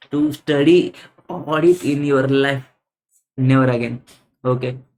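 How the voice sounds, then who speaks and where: A man with an Indian accent talks at a fairly slow pace in a medium pitch. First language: Hindi. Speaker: CA exam audit teacher. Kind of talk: exam answer walkthrough lecture. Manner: halting, frequent fillers.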